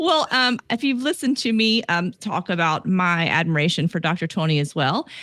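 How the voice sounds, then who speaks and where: A woman with a Southern US accent talks with hardly any pauses, very wide pitch swings and very even loudness. The recording is very clean, dry and close with no echo, over a silent background. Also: medium pitch for a woman, moderate pace. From US South. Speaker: podcast host and relationship coach. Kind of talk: casual podcast chat.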